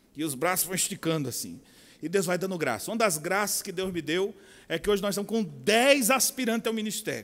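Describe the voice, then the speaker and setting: A man with a strong São Paulo accent, high-pitched, at a fairly quick pace. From São Paulo, Brazil. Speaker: pastor and military chaplain. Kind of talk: conference talk.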